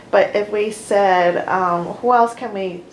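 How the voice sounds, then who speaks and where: A woman is speaking. Audible echo from the room can be heard. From US Northeast, New Jersey (Hasbrouck Heights). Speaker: library oral history organizer. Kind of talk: briefing to interviewees. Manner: animated.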